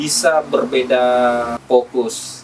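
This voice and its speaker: Speaking with a South Sulawesi accent, a man uses a medium pitch and fairly even intonation. There is noticeable background noise. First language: Bugis (speaking Indonesian). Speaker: event host and community organizer. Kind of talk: podcast interview. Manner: halting, many fillers.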